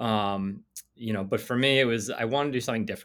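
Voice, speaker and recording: An ordinary speaking voice with ordinary pitch variation comes through on a very clean recording with a silent background. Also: man. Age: 40s. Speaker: attorney and entrepreneur. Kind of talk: interview.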